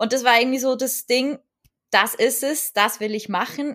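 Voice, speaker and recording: In a very clean recording with a silent background, a woman with an unremarkable speaking voice talks at a moderate pace with fairly even intonation. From Switzerland. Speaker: hand-lettering artist and online entrepreneur. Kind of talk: interview conversation.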